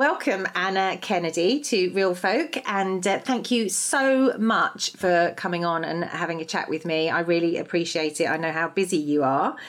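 With noticeable background noise behind her, a woman of medium pitch talks at a moderate pace with lively intonation and hardly any pauses. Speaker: podcast host. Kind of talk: casual interview chat.

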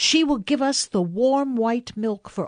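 Over a quiet background, a woman speaks in an animated tone with fairly high pitch at a fairly slow pace. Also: dry, close sound with no echo. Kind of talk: scripted narration reading aloud of Kipling's story. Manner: animated storyteller, distinct character voices; measured, warm, unhurried.

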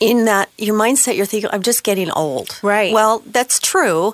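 A woman's medium-pitched, a normal speaking voice at a moderate pace with ordinary pitch variation. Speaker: banking executive guest. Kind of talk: interview discussion. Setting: radio studio.

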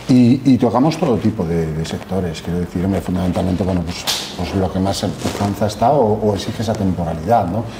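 A fairly low-pitched man at a fairly quick pace, with ordinary pitch variation, noticeable background noise and audible room echo. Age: 50s. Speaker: temporary staffing industry executive. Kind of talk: interview.

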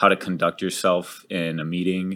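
In an American accent, a man speaks at a very deep, low pitch with monotone, flat intonation. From Texas, San Antonio. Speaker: investment fund partner. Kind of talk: interview. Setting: studio with small audience.

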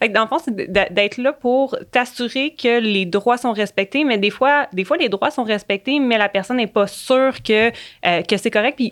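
An unremarkable speaking voice, fairly slow, with ordinary pitch variation. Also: woman. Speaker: public servant, union youth committee member. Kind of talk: casual chat.

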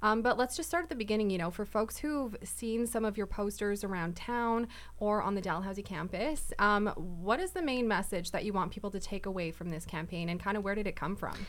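A woman's plain, everyday voice with a Canadian accent, medium in pitch, at a fairly quick pace with ordinary pitch variation. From Winnipeg, Canada. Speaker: podcast co-host. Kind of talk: casual interview.

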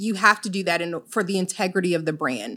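A bright, sharp tone with an American accent on a very clean recording with a silent background. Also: woman. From Illinois, of Jamaican parents. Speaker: mental health business owner. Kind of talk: interview.

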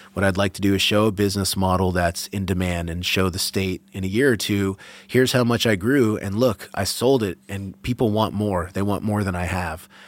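In a plain, everyday voice, a man with an American accent speaks at a fairly quick pace and a fairly low pitch, with hardly any pauses. His intonation is fairly even, and the recording is very clean with a silent background. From Massachusetts, suburbs west of Boston. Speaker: cannabis farmer and breeder. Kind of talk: interview conversation.

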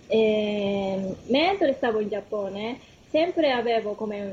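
Talking at a very slow pace, a woman speaks in a Japanese accent with ordinary pitch variation. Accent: Japanese accent in Italian. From Japan, Kumamoto. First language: Japanese (speaking Italian). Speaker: concert pianist and piano teacher. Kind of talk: radio interview. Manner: hesitant, many fillers.

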